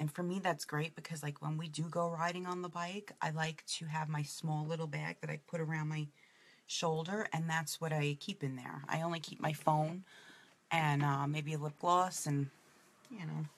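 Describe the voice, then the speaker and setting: A woman with a strong New York accent speaks in a very deep, low pitch, somewhat breathy. Her intonation is fairly even and her pace moderate. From New York City (Brooklyn). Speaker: makeup presenter. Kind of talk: makeup tutorial. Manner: casual, chatty.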